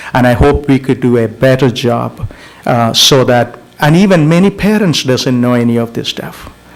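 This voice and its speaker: Noticeable background noise behind a man at medium pitch, with ordinary pitch variation and a moderate pace. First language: not English. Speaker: school board trustee. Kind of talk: board meeting discussion. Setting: public board meeting. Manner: halting.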